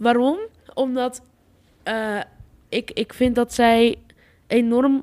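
Pausing long and often, a woman with a high pitch speaks at a very slow pace with fairly even intonation. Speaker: podcast co-host. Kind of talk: casual chat.

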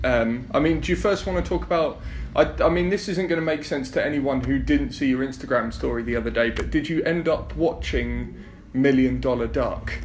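A man with an English accent at a fairly quick pace, very even in loudness, over noticeable background noise. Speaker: podcast host. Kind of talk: casual interview chat.

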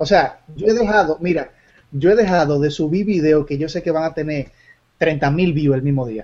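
A man at a fairly high pitch, moderate pace and ordinary pitch variation. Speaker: YouTuber. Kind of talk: casual chat. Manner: energetic.

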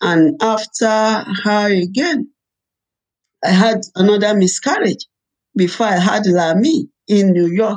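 With long, frequent pauses, a woman speaks at a fairly slow pace in a Nigerian accent, using a medium pitch and lively intonation. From Nigeria, Ibadan. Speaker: pastor and evangelist. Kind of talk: testimony. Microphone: laptop.

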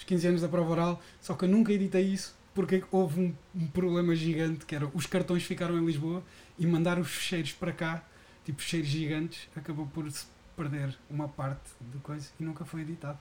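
Here a man talks at a fairly quick pace in a high pitch. His intonation stays fairly even. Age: 30s. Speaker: podcast host. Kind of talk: casual chat.

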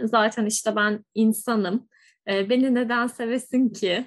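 A woman with an unremarkable speaking voice talks at a fairly slow pace with fairly even intonation. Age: 20s. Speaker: podcast host, psychology professional. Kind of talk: casual chat.

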